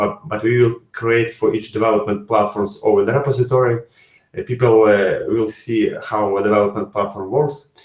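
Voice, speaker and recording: A man with a non-native accent speaks at a moderate pace and medium pitch, somewhat breathy. His intonation is fairly even, and the room echo is audible. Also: quiet background. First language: not English. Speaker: software developer. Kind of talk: interview answers; webinar presentation. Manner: halting. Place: home room. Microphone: webcam.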